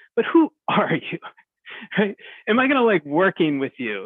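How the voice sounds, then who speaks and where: Speaking at a moderate pace with an American accent, a man with a high voice sends his pitch through very wide swings. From US Northeast (New Jersey shore). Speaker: organizational development consultant. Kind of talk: interview. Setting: remote call.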